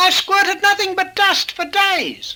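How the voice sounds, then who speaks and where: This is a put-on character voice. It is squeaky and extremely high in pitch. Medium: read story.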